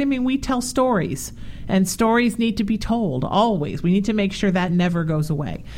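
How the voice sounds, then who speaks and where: Here a woman uses a normal speaking voice. Her intonation is lively. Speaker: radio host. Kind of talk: upbeat radio host patter with plugs and sign-offs, warm interview chat. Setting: radio studio show.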